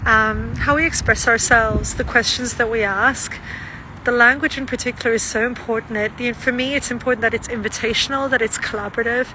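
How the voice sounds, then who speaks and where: At a fairly quick pace, a woman with a fairly high pitch speaks in monotone, flat intonation over noticeable background noise. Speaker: trauma-informed practitioner and vlogger. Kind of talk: casual reflective monologue.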